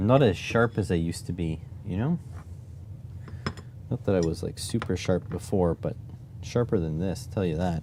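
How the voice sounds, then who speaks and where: A man's very deep, low voice at a moderate pace, with ordinary pitch variation and long, frequent pauses. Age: 30s. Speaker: electronics maker streamer. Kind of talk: live stream tinkering commentary. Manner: halting, thinking aloud.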